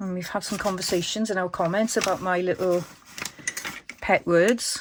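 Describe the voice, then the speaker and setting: In a Welsh accent, a woman speaks at a medium pitch and moderate pace with monotone, flat intonation. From Wales. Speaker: crafting YouTuber. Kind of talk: tutorial. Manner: casual, chatty.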